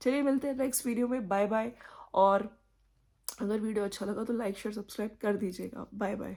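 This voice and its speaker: Soft-spoken and fairly high-pitched, a woman talks with a dark, mellow tone and fairly even intonation. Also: moderate pace. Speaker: YouTube commentary vlogger. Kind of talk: casual commentary monologue. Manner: speaking softly.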